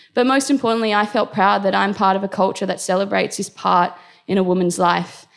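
A woman with an Australian accent, medium pitch, a fairly quick pace, and a very clean recording over a silent background. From Australia, Indian family. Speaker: storyteller. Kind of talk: live storytelling. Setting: stage with audience.

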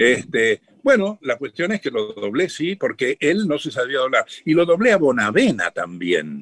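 A man with a fairly high pitch and very wide pitch swings speaks at a fairly slow pace with hardly any pauses, in a dry, close sound with no echo. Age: 80s+. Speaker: voice actor and comedian. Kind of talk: radio interview.

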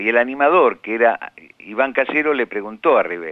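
A man keeps a moderate pace, his intonation lively throughout. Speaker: writer. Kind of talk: interview testimony. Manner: halting.

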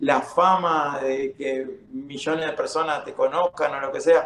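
Against noticeable background noise, a man speaks with a Rioplatense accent and ordinary pitch variation. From Uruguay. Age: 30s. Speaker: MMA fighter. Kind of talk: casual chat.

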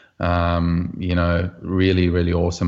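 A man talks with a very deep, low pitch. His intonation is monotone and flat over a quiet background. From South Africa. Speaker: professional golfer. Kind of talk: casual interview.

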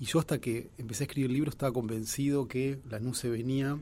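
The man speaks with fairly even intonation. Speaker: journalist and author. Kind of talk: radio interview.

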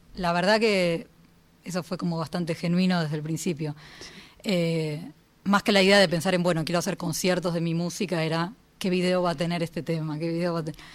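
In an ordinary speaking voice, a woman talks at a fairly quick pace with fairly low pitch and fairly even intonation. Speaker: composer and pianist. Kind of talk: casual radio interview. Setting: radio studio.

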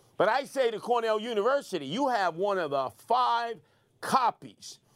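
With a New York accent, the speaker uses lively intonation at a moderate pace on a very clean recording with a silent background. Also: man. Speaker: radio host. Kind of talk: angry rant. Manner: indignant, emphatic, forceful.

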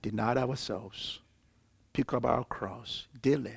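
A man's somewhat breathy voice, fairly slow and with fairly even intonation. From Africa. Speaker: seminary lecturer. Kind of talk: lecture.

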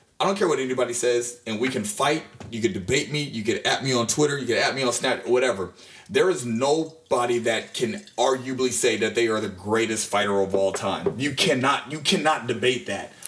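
Noticeable background noise runs behind the voice. The pace is fairly quick and the intonation lively. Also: man, medium pitch for a man. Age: 30s. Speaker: boxing podcast co-host. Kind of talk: casual chat. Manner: animated.

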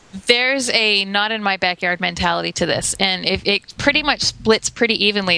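Someone with an American accent and a plain, everyday voice speaks at a moderate pace. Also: woman. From Florida, US. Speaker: podcast guest. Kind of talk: casual chat. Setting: video call.

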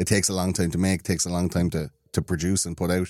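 A man with an Irish accent, very deep and low in pitch, at a very fast pace on a very clean recording with a silent background. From Ireland. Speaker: podcast host, conspiracy show. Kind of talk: casual chat.

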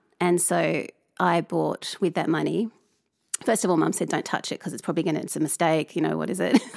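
Dry and close with no echo, a woman with an Australian accent speaks at a fairly quick pace. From Tasmania, Australia. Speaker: artist and lecturer. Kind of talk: interview. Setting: studio.

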